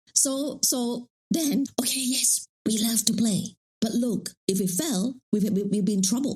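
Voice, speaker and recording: Somewhat breathy and fairly high-pitched, a woman's voice carries an animated tone with ordinary pitch variation and very even loudness. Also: fairly slow pace. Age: 60s. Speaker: life coach. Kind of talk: interview conversation.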